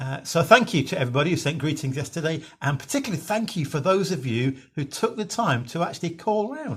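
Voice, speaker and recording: With a British accent, a man talks at a fairly quick pace. His voice is somewhat breathy and his intonation lively. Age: 60s. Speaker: minister. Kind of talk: devotional talk. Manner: halting.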